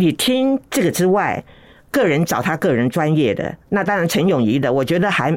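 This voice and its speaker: In a very clean recording with a silent background, a woman with a fairly low pitch speaks at a moderate pace, keeping her loudness very even while her pitch swings very widely. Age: 80s+. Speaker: host's elderly mother, interview guest. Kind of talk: casual chat.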